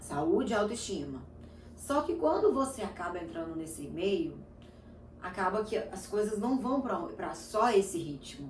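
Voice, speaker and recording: Audible room echo surrounds a woman talking at a fairly slow pace. Her medium pitch swings very widely. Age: 30s. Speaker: lifestyle vlogger. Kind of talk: casual chat.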